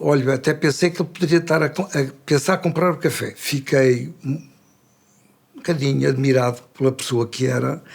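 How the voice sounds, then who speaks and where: Vocal fry runs through this voice, which moves at a moderate pace with fairly even intonation. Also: man, fairly high pitch for a man. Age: 70s. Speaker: retired café owner. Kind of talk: storytelling. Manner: halting, with filler sounds.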